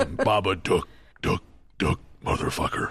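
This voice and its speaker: A put-on character voice from a man, raspy and fairly low-pitched, at a fairly slow pace. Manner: menacing.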